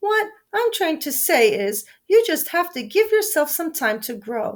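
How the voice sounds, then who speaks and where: A woman's put-on character voice, squeaky and extremely high in pitch, with a gentle tone, very wide pitch swings and a moderate pace. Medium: read story. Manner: gentle, kindly.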